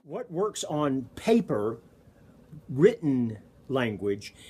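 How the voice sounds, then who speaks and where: Here a man speaks with a Southern US accent. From US South, Alabama. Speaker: college speech professor. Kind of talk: lecture.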